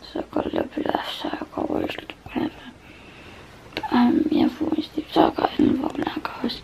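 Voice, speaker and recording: Someone talks at a moderate pace while noticeable background noise continues underneath. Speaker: vlogger. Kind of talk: casual vlog talk. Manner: halting.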